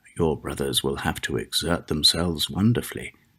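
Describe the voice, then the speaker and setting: A man speaks at a fairly slow pace in a very deep, low voice with vocal fry. His intonation is lively. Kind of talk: ASMR fairy tale reading.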